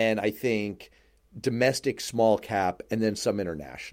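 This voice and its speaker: A man talks at a fairly slow pace at medium pitch, in an ordinary speaking voice. The recording is very clean, with a silent background. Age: 40s. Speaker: radio and podcast host. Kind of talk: casual chat.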